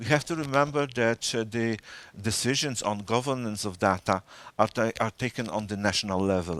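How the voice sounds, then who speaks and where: Speaking in a Polish accent at a fairly quick pace, a man uses a medium-pitched voice with lively intonation. The recording is very clean, with a silent background. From Poland. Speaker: data protection official. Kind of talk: interview. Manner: halting, many fillers.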